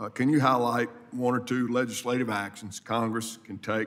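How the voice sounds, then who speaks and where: The speaker has a Mississippi accent and keeps a moderate pace. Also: man. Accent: Southern US (Mississippi). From US South, South Mississippi. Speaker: congressman. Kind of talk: committee hearing questioning.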